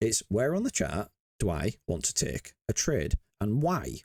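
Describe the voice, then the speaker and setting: With a Yorkshire accent, a man speaks with vocal fry and very wide pitch swings. The sound is dry and close, with no echo. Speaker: crypto trading educator. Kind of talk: market analysis tutorial. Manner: casual, filler-heavy.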